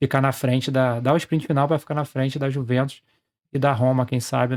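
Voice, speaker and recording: A man talks at a fairly quick pace with monotone, flat intonation on a very clean recording with a silent background. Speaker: sports betting trader and youtuber. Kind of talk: casual screen-share tutorial.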